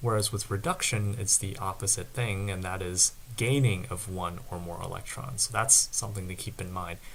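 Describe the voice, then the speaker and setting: A soft-spoken man with a fairly low pitch and ordinary pitch variation at a moderate pace. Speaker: student tutor. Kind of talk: tutorial.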